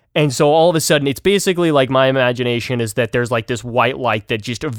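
Here a man talks at a medium pitch with an American accent and ordinary pitch variation. The sound is dry and close, with no echo. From Utah. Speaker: podcast co-host. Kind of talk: casual chat. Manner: animated.

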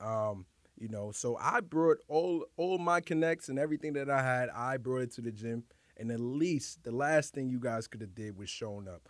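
With a New York accent, a man at medium pitch talks at a moderate pace with lively intonation, recorded very cleanly against a silent background. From New York City, the Bronx (Highbridge). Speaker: professional fighter. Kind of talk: casual chat.

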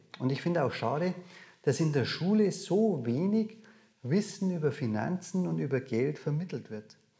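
Lively intonation in a dark, mellow, somewhat breathy voice with a Bavarian accent, at a moderate pace. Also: man. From Bavaria, near Munich. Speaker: dividend investor and seminar speaker. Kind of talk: interview conversation.

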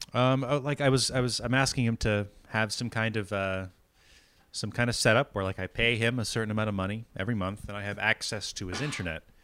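Speaking at a very fast pace, a man uses a bright, sharp tone and fairly even intonation. The recording is very clean, with a silent background. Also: medium pitch for a man. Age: 30s. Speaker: podcast co-host. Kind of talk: casual chat. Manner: halting, many repetitions.

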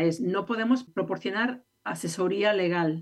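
A woman speaks with an unremarkable speaking voice. Her pitch variation is ordinary. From Spain. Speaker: legal aid lawyer. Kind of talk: radio interview.

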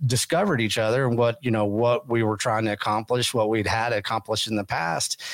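With a West Texas accent, a man speaks at medium pitch with ordinary pitch variation. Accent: West Texas drawl. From West Texas (Texas panhandle). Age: 50s. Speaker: podcast host. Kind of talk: casual interview chat.

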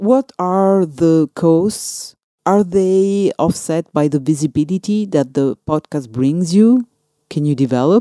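Very slowly and with lively intonation, a woman speaks in a fairly low pitch at very even loudness. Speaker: podcast host and radio journalist. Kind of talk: interview conversation.

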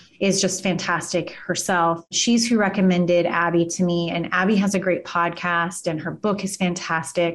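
A woman speaks with a slight Kansas accent. Her pitch is fairly low. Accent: slight Kansas drawl. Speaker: immigration lawyer and law firm owner. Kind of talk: casual interview chat. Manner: animated.

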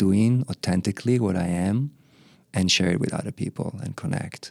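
Spoken with an Israeli accent, the voice has ordinary pitch variation and a dry, close sound with no echo. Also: man. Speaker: spiritual teacher and monk. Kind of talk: interview.

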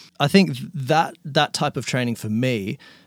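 With an Australian accent, a man speaks at a fairly slow pace and medium pitch, with ordinary pitch variation. The sound is dry and close, with no echo. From Melbourne, Australia. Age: 30s.

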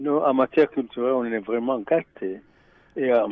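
A man's unremarkable speaking voice, medium in pitch, at a moderate pace. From Burundi. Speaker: radio volunteer and finance columnist. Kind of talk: interview. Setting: studio.

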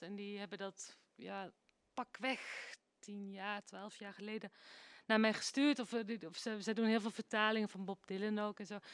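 At a moderate pace, a woman with an unremarkable speaking voice talks at a fairly high pitch, the sound dry and close with no echo. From Netherlands. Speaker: singer. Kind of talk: interview.

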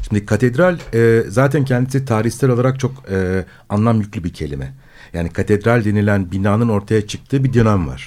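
Pitched fairly low, a man talks at a moderate pace with lively intonation. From Istanbul, Turkey. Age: 50s. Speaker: philosopher. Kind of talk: radio discussion. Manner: halting, many filler sounds.

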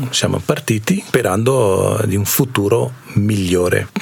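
With noticeable background noise behind him, a man speaks at a fairly slow pace. His voice sits fairly low and varies in pitch in an ordinary way. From India. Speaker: shop owner, immigrant. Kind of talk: radio interview.

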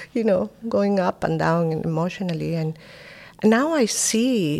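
A woman talks at a very slow pace with a Spanish accent. Her intonation is lively. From Spain. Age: 50s. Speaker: philanthropist. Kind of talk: interview.

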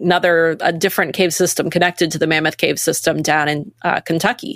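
A woman with a plain, everyday voice, fairly low in pitch at a moderate pace, in a dry, close sound with no echo and a very clean recording with a silent background. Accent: American. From Maine, US. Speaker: nonprofit staff member and co-founder. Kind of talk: casual interview.

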